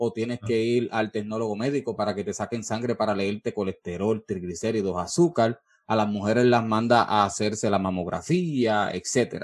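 A man with a Puerto Rican accent speaks at a moderate pace and medium pitch. His ordinary pitch variation comes through in a dry, close sound with no echo. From Puerto Rico, Peñuelas. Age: 30s. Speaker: podcast host. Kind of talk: interview.

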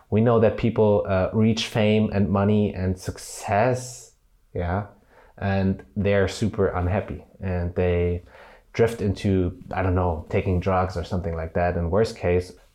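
Against a quiet background, a man with a plain, everyday voice speaks fairly slowly at a fairly low pitch, his intonation fairly even. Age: 20s. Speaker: YouTuber. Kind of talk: vlog monologue. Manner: casual, with many fillers.

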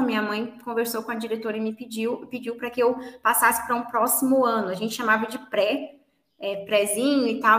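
A woman speaks with a fairly high pitch at a moderate pace. It is a plain, everyday voice. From Brazil, Minas Gerais. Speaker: English teacher. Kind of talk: interview.

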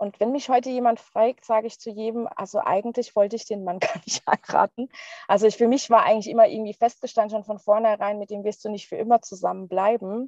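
A woman with fairly high pitch talks at a very fast pace with fairly even intonation and big swings in loudness, recorded dry and close with no echo. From Palatinate, Germany. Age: 30s. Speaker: divorcee sharing personal story. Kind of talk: interview testimony.

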